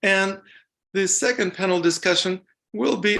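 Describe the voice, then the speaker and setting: The speaker has a non-native accent and a fairly slow pace. The background is quiet. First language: not English (English is third language). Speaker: summit host, qigong teacher. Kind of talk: event introduction.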